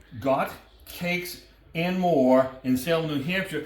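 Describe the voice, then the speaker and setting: A man with a New England accent and a fairly high pitch is heard over noticeable background noise and audible room echo. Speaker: cooking show host. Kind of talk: casual chat. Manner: animated.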